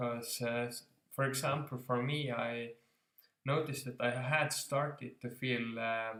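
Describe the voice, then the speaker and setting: Medium in pitch with a bright, sharp tone, a man speaks at a fairly slow pace in monotone, flat intonation. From Estonia. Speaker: self-improvement vlogger. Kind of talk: casual vlog talk. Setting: home, on couch. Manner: halting, many fillers.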